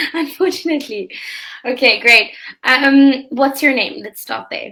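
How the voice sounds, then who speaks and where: A woman with a high pitch uses a raised, projected voice and a bright, sharp tone, speaking at a fairly slow pace with ordinary pitch variation. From South Africa. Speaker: online English teacher. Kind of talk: casual chat.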